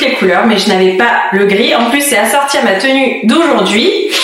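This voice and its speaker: Amid noticeable background noise and audible room echo, a woman speaks fairly slowly in a fairly high pitch with very wide pitch swings. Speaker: fashion vlogger. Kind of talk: casual vlog. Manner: hesitant, many fillers; soft-spoken.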